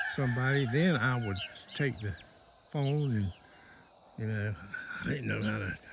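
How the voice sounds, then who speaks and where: Lively intonation marks this man's Southern US accent. He keeps a moderate pace, with long, frequent pauses. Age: 60s. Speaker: goat farmer and homesteading vlogger. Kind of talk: casual farm vlog talk. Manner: halting.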